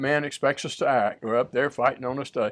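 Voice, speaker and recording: Against a quiet background, a man with a Southern US accent talks fairly quickly at a fairly high pitch with ordinary pitch variation. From US South. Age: 70s. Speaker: church minister. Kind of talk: casual chat.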